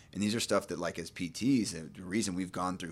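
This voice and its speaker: With a Texan accent, a man speaks in a very deep, low pitch and a fairly even intonation. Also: very clean recording, silent background. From East Texas (Nacogdoches). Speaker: physical therapist. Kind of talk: casual chat.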